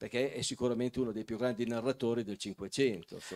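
In a quiet background, a man's medium-pitched voice comes through. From Piedmont, Castelnuovo Scrivia; Piedmont. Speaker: local historian and author; talk show guest. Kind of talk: talk show interview. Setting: stage with audience. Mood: calm, lightly amused. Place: hall. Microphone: handheld.

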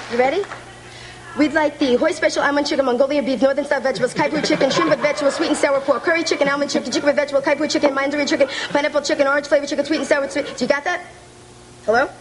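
A high-pitched woman talks at a very fast pace with fairly even intonation. Noticeable background noise is present. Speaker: comedian. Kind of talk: rapid-fire comic reading. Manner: extremely fast. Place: studio.

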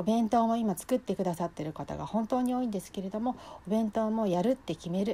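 A woman talks at a fairly quick pace with lively intonation, her fairly high voice somewhat breathy and dark, mellow in tone. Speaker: cooking class instructor. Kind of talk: solo talk to viewers. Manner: polite, formal.

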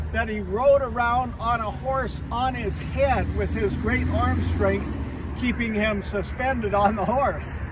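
Over loud background noise, the voice comes through dry with no echo at a fairly slow pace. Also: man. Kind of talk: casual vlog storytelling. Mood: proud, warm. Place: open country.

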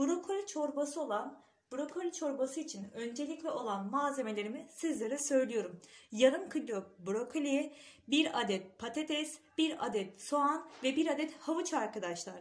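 A woman is speaking with a high pitch. Her pace is moderate. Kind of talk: cooking tutorial. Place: kitchen.

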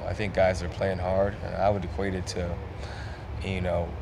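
Loud noise fills the background. Over it, a man talks fairly quickly. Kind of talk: interview answer. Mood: calm, reflective. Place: hall. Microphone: handheld.

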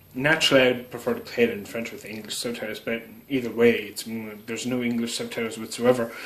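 This is a man's voice. He speaks at a fairly quick pace. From Canada. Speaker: YouTuber doing product unboxing. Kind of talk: unboxing video narration. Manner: casual with frequent fillers and hesitations. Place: home room. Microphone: phone near.

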